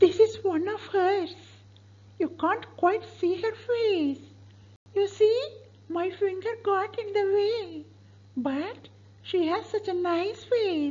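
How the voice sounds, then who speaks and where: Putting on a character voice, a woman speaks at an extremely high pitch and a very slow pace, with ordinary pitch variation and long, frequent pauses. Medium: stage play. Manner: gushing, chatty.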